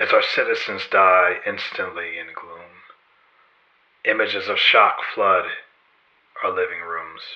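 In a solemn, dramatic tone, a man speaks at a fairly slow pace with long, frequent pauses and big swings in loudness. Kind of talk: spoken word poem. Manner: rhythmic, rhyme-driven delivery; solemn, dramatic, building to a slow repeated 'falling, falling, fall'.

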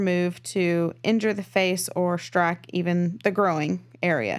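A woman speaks with a Texan accent at medium pitch and fairly even intonation. The recording is very clean, with a silent background. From Texas. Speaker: true crime podcast co-host. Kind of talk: casual storytelling chat. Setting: studio, in person.

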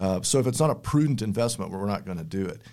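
A man talks very fast with a West Texas accent and ordinary pitch variation. The recording is very clean, with a silent background. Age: 50s. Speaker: energy company spokesman. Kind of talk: podcast interview. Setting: studio.

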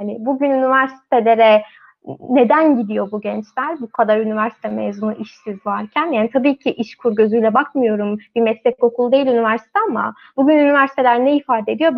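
A woman speaks in a normal speaking voice, fairly high-pitched, at a moderate pace with fairly even intonation. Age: 20s. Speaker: magazine team member, live stream moderator. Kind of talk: live stream panel discussion.

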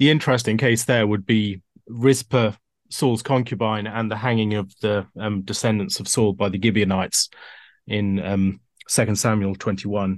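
Using a plain, everyday voice, a man speaks at a moderate pace and a fairly low pitch. His intonation stays fairly even. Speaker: podcast panelist. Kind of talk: theological discussion.

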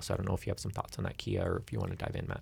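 Somewhat breathy, a man with a Canadian accent speaks on a very clean recording with a silent background. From Alberta, Canada. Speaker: radio host. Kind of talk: interview.

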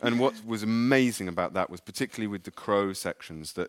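A man with an English accent speaks at a fairly quick pace, his pitch varying in an ordinary way. The recording is very clean and dry, close-up with no echo and a silent background. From England. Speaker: author. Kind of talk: live literary conversation. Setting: stage with audience.

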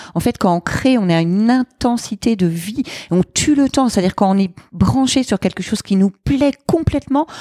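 Using lively intonation, a woman talks at a moderate pace with a fairly high pitch. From France, various regions; Lyon since teens. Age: 40s. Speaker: entrepreneur and gender equality advocate. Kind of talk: casual interview. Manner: hesitant, many fillers.

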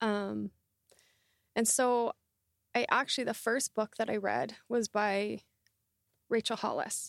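A very slow, fairly high-pitched female voice with long, frequent pauses and very even loudness, dry and close with no echo, on a very clean recording with a silent background. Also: ordinary pitch variation. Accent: Canadian. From Canada, Southern Alberta. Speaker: transformation coach. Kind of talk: interview conversation.

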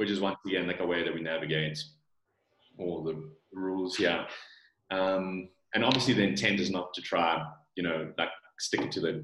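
A man speaks with a very deep, low voice in a South African accent. His pace is moderate. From South Africa, Johannesburg. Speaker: supplement company founder. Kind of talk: interview.

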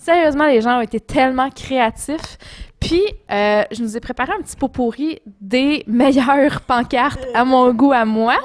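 With a Quebec accent, a woman speaks in a high, animated voice at a fairly slow pace, with ordinary pitch variation. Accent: Québécois French. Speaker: podcast co-host. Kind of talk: casual chat.

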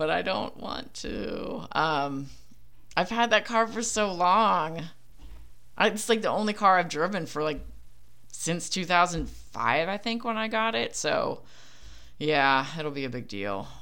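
Speaking with an American accent, a woman has a fairly low pitch, a bright, sharp tone and vocal fry. Her pace is fairly slow, with very wide pitch swings and long, frequent pauses. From Philadelphia, US. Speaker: podcaster. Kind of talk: casual solo monologue. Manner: casual, filler-heavy.

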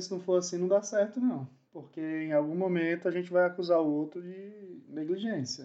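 This man has a high pitch and a dark, mellow tone, speaking at a fairly slow pace. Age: 40s. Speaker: production engineer. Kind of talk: casual chat. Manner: halting.

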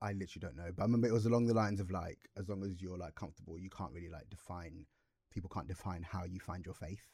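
A man speaks very fast in a very deep, low voice with ordinary pitch variation, a dark, mellow tone and some breathiness. The recording is very clean, with a silent background. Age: 20s. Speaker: podcast co-host. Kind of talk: casual chat. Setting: studio. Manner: animated.

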